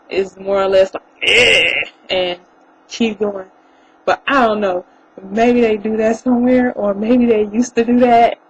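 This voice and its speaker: In a Southern US accent, a woman speaks at a fairly high pitch and a fairly slow pace with fairly even intonation, and background noise is noticeable. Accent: country Southern. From coastal North Carolina (Beaufort). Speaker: vlogger. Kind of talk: casual vlog monologue. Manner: smiling, cheerful.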